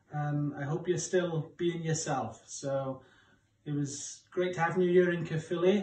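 Over audible room echo, a man with a high pitch speaks at a moderate pace in a monotone, flat intonation. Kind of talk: casual video message. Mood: warm, jokey. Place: home room. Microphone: phone near.

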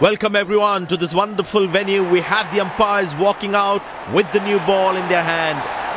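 Crowd noise sits behind a man speaking at a moderate pace. His pitch is high and his intonation is monotone and flat. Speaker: cricket commentator in a video game. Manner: clipped, punchy snippets with abrupt shifts between calls.

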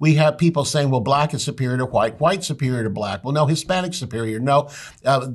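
A somewhat breathy man with an American accent and lively intonation against a quiet background. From United States. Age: 70s. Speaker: pastor and Bible teacher. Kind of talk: Bible teaching. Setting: studio. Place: studio.

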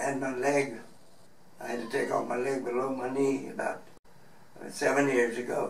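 A man speaks in a flat monotone, with audible room echo and light background noise. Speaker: retired truck broker, below-knee amputee. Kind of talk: interview answer. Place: office.

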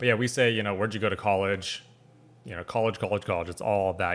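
With an American accent, a man speaks at a fairly low pitch. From United States. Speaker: reaction video host. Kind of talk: casual reaction commentary. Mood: curious, amused. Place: home room.

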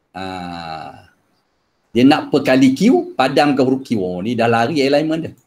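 A man's fairly slow speech with vocal fry and very wide pitch swings. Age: 50s. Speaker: secondary school maths teacher; experienced mathematics teacher. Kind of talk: workshop lecture. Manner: hesitant, many fillers. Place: home room. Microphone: video call.

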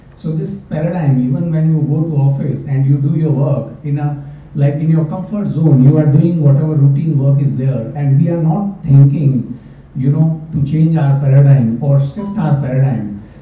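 Audible room echo surrounds a man as he talks at a moderate pace. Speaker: event emcee. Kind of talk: event hosting. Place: hall.

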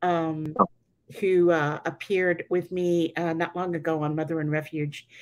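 Against a quiet background, a woman with a fairly low pitch speaks at a moderate pace in a monotone, flat intonation. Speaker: online show host. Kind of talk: interview. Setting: video call. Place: home room. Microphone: video call.

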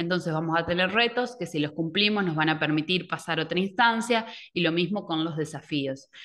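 Over a quiet background, a woman talks at a fairly quick pace in a fairly low pitch. She has an unremarkable speaking voice with ordinary pitch variation. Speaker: educational technology advisor; presenter. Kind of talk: online workshop presentation. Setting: video call. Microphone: webcam.

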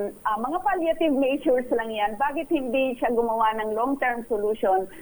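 Noticeable background noise surrounds a woman speaking at a moderate pace. Her pitch is fairly high, with ordinary variation. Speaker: advocacy group spokesperson. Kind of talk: radio interview.

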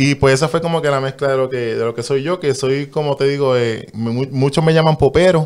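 Speaking at a fairly quick pace with hardly any pauses, a man uses a plain, everyday voice at a fairly high pitch with fairly even intonation. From Puerto Rico. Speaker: guest. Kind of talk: casual interview. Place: studio. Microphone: studio mic.

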